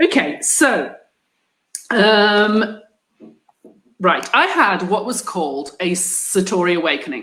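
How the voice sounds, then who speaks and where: A woman speaks very slowly with an English accent. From England. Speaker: group host, business owner. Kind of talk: online group discussion. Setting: live video stream.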